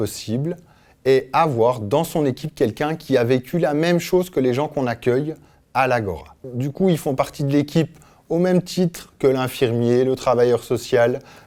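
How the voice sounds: A man speaks at a fairly slow pace with a medium pitch, ordinary pitch variation and a slightly mellow tone.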